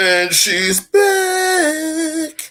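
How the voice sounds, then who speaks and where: A man puts on a squeaky character voice. It sits extremely high in falsetto. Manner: playful, boastful.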